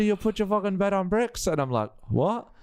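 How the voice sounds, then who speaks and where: At a moderate pace, a man with a high pitch and lively intonation speaks with an Australian accent. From Australia, Adelaide and Sydney, Lebanese family. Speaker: stand-up comedian and radio announcer. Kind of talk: casual chat.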